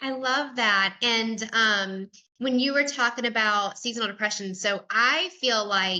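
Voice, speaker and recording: At a fairly slow pace, the voice carries a bright, sharp tone. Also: woman, fairly high pitch for a woman, ordinary pitch variation. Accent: Southern US. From US South. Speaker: podcast host. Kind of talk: casual interview chat.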